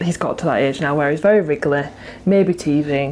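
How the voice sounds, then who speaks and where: With noticeable background noise behind her, a woman speaks at a very deep, low pitch with fairly even intonation. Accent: British. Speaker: new mother. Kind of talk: casual family vlog talk to camera.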